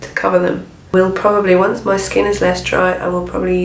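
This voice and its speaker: A woman with a British accent at a moderate pace, with noticeable background noise. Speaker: beauty vlogger. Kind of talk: casual talk to camera.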